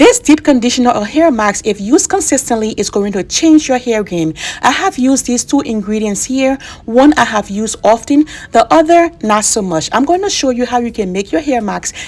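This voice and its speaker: Over noticeable background noise, the pitch swings very widely at a fairly quick pace. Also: woman, high pitch for a woman. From Liberia. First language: Bassa. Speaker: beauty vlogger. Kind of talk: tutorial. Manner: casual.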